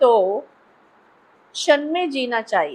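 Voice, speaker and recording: A woman with a Sri Lankan accent speaks at a high pitch on a very clean recording with a silent background. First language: Sinhala (speaking Hindi). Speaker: professor. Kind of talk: interview conversation.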